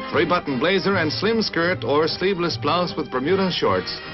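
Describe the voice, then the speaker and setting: Fairly high-pitched man with an American accent at a moderate pace, with music in the background. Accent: mid-century American newsreel announcer. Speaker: newsreel narrator. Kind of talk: 1950s newsreel narration. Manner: light, breezy.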